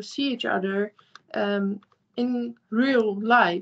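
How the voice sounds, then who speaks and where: In a Dutch accent, a woman speaks at a very slow pace with a fairly high pitch and ordinary pitch variation. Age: young. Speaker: youth group participant. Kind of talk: panel discussion. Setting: video call. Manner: halting. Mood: calm, thoughtful. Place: home room. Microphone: video call.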